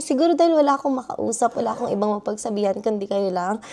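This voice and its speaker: Lively intonation runs through a woman's dark, mellow tone. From Philippines. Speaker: vlogger, international student. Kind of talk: personal vlog.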